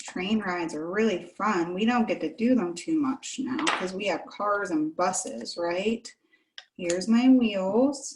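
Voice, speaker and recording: At a fairly slow pace, a woman speaks with lively intonation and a medium pitch. Hers is an unremarkable speaking voice. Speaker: children's librarian. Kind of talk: children's craft tutorial. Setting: video call.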